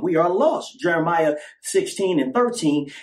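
A man speaks with an American accent and very wide pitch swings. Noticeable background noise is present. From California. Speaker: religious podcaster. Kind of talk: sermon-style monologue.

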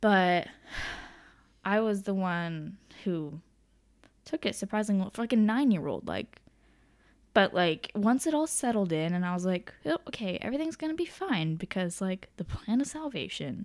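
A woman speaks at medium pitch with very wide pitch swings. Long, frequent pauses break up her speech. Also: moderate pace. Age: 20s. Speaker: university student. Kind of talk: storytelling.

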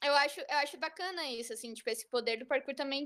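Her tone comes across bright and sharp. The woman's pitch is high. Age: 30s. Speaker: parkour coach. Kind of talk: casual chat.

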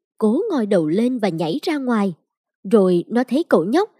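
The text is plainly read aloud with lively intonation over a quiet background.

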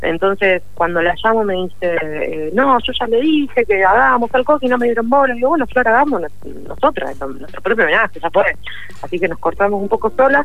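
A woman with an Argentine accent, fairly high in pitch, with very wide pitch swings at a fairly quick pace over noticeable background noise. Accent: Rioplatense Argentine Spanish. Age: 30s. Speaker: musician. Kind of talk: interview. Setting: remote call.

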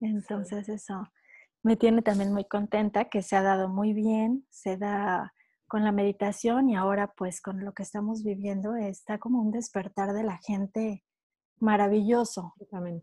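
A somewhat breathy woman with a dark, mellow tone speaks at medium pitch and a moderate pace in a monotone, flat intonation, recorded very cleanly with a silent background and a dry, close sound with no echo. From Mexico. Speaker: wellness coach. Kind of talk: interview.

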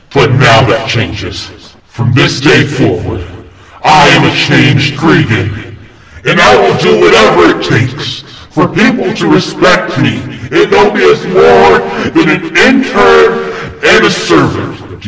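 A man's put-on character voice, fairly high and fairly slow, with clear echo. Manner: demonic.

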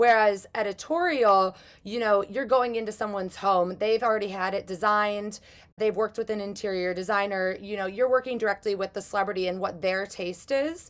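With a plain, everyday voice and an American accent, a woman talks at a fairly quick pace and a medium pitch with ordinary pitch variation. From Chicago, US Midwest. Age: 20s. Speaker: prop stylist. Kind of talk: interview.

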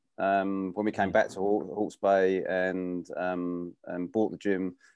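A man speaks in a very deep, low voice with a dark, mellow tone. His delivery is monotone and flat over a quiet background. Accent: English. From UK. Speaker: gym owner and running coach. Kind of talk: interview.

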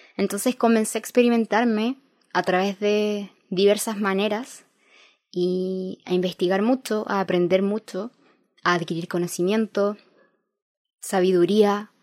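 Using fairly even intonation, a woman speaks at a medium pitch and fairly slow pace with long, frequent pauses, in a very clean recording with a silent background and a dry, close sound with no echo. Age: 20s. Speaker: podcast host. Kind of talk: monologue.

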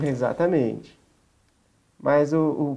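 A man with a normal speaking voice, fairly high pitch and ordinary pitch variation, over a quiet background. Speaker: podcast host. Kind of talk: casual chat.

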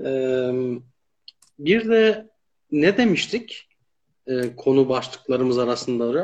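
At a very slow pace, a man speaks with a medium pitch and lively intonation. He takes long, frequent pauses. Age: 30s. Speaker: live stream host. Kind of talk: casual interview.

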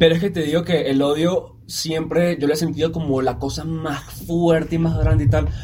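Over noticeable background noise and audible room echo, a man with a Venezuelan accent talks at a moderate pace, his fairly high voice keeping a fairly even intonation. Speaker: podcast co-host. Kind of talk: casual chat.

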